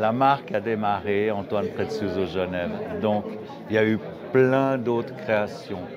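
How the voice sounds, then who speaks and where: Very slow speech with ordinary pitch variation, audible room echo, and crowd noise in the background. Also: man. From Geneva, Switzerland. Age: 60s. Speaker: watchmaker. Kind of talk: interview. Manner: halting.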